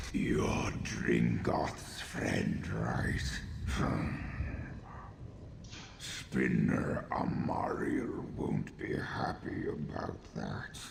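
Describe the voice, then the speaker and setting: Over clear background noise, a man puts on a character voice. He speaks very slowly with a slight echo. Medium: game stream. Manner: curt, dry.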